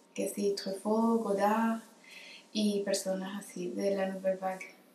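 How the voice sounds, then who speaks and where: The voice moves at a very slow pace in a monotone, flat intonation, with noticeable background noise behind it. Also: woman. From Venezuela, Caracas. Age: 20s. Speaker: film editor and photographer. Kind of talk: casual interview.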